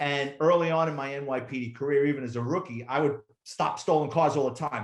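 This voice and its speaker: This man speaks very fast with a New York accent. His pitch is medium, with ordinary variation. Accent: New York (Bronx). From New York City, the Bronx. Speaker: retired police officer and author. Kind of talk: casual interview storytelling. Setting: podcast interview. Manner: animated.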